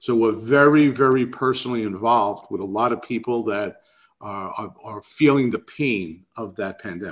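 With a New York accent, the speaker talks at a moderate pace with ordinary pitch variation and big swings in loudness over a quiet background. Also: man, medium pitch for a man. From New York City. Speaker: real estate economics speaker. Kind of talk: webinar presentation. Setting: video call.

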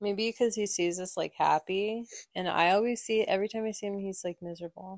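Here is a woman with an ordinary speaking voice and fairly even intonation. She talks at a fairly quick pace in a dry, close sound with no echo. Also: medium pitch for a woman. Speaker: podcast host.

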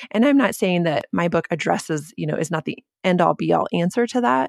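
A woman's fairly low voice with lively intonation, vocal fry and a moderate pace. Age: 40s. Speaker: author and church planter's wife. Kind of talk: casual interview.

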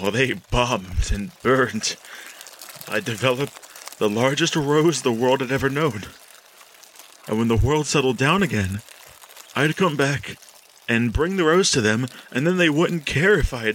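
Using a put-on character voice at a medium pitch, a man speaks with long, frequent pauses. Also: moderate pace. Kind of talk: horror narration. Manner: brooding, fevered.

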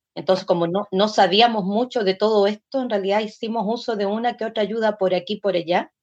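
Talking at a fairly quick pace, a woman uses a plain, everyday voice at medium pitch with ordinary pitch variation. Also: hardly any pauses. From Chile. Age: 60s. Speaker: folk singer and dancer. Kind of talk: interview.

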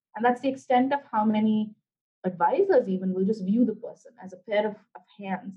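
A somewhat breathy woman's voice in an Indian accent, fairly high in pitch, with ordinary pitch variation, a fairly quick pace and big swings in loudness. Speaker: career development director. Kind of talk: interview.

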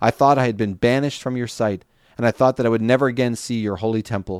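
On a very clean recording with a silent background, a man speaks in an ordinary speaking voice of medium pitch. His intonation is fairly even, and the sound is dry and close with no echo. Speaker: podcast host reading the Bible. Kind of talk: scripture reading aloud, steady and reverent. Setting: podcast recording. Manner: measured, clear, even-paced narration.

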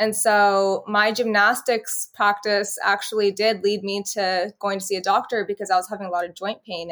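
A woman with an American accent and an ordinary speaking voice talks at medium pitch and a moderate pace in a very clean recording with a silent background. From California, Bakersfield. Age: 20s. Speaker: healthcare worker and lupus patient. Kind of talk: interview.

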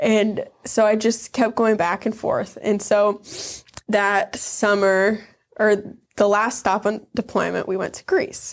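Speaking at a very slow pace, a woman with an Upper Midwest accent keeps a monotone, flat intonation. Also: fairly high pitch for a woman. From northern Wisconsin near Michigan's Upper Peninsula. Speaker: Navy veteran. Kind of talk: interview testimony.

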